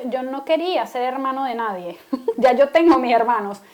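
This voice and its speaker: A woman talks in a high-pitched voice. Her pace is moderate. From Venezuela. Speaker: podcast co-host. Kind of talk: casual chat.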